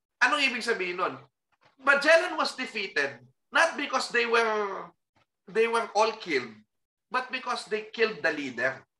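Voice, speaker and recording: A man's raised, projected voice at extremely high pitch, bright and sharp in tone, at a moderate pace with very wide pitch swings. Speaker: historian and professor. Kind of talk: casual chat.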